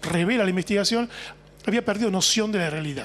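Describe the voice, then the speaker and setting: A man talks in a high pitch with ordinary pitch variation. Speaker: author or journalist guest. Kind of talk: interview answer. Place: home room. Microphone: handheld.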